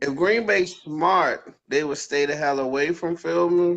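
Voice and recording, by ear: A man speaks at a fairly slow pace with a fairly high pitch and ordinary pitch variation. His tone is fairly bright, with vocal fry.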